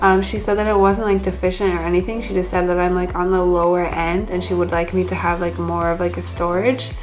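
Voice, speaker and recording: A woman with an American accent at a moderate pace, with audible room echo and noticeable background noise. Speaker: vlogger. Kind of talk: casual vlog update. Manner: chatty, many fillers.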